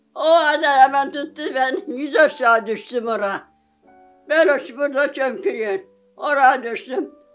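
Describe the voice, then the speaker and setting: A woman at a high pitch and a fairly slow pace, with faint music in the background. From Manisa, Turkey. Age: 80s+. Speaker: villager, survivor of domestic violence. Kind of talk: interview answer. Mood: emotional, aggrieved storytelling.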